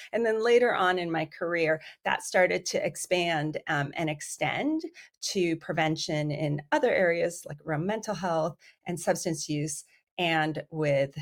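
A woman with a plain, everyday voice, fairly low pitch, ordinary pitch variation and a fairly slow pace, on a very clean recording with a silent background. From US, Iranian immigrant family, raised bilingual. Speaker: psychiatry professor and researcher. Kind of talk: podcast interview.

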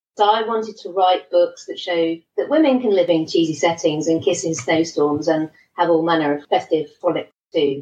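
Speaking at a moderate pace with a southern English accent, a woman uses a fairly low pitch and ordinary pitch variation. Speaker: romance author. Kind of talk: casual interview.

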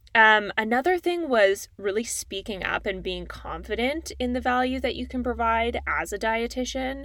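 Speaking at a moderate pace with hardly any pauses, a woman talks in a Canadian accent. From Calgary, Alberta, Canada. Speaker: podcast host, dietitian. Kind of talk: solo podcast monologue.

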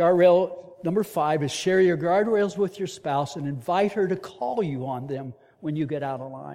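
A man talks at a moderate pace with a high pitch and ordinary pitch variation. His loudness swings widely. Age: 70s. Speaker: leadership trainer and speaker at men's ministry. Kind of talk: sermon.

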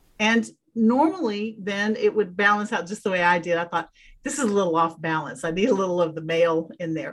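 Speaking at a fairly quick pace with lively intonation, a woman uses a plain, everyday voice at medium pitch. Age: 50s. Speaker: pagan practitioner and former teacher. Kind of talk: casual interview.

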